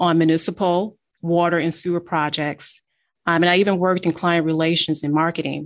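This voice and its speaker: With an American accent and a normal speaking voice, a woman talks at a fairly quick pace, her pitch fairly low and her intonation fairly even. The recording is very clean, with a silent background. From Detroit, Michigan. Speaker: engineering firm CEO. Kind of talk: interview.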